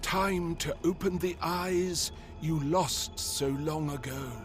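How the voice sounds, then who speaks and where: A man puts on a character voice, pitched high and spoken at a very slow pace, with clear background noise. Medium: machinima.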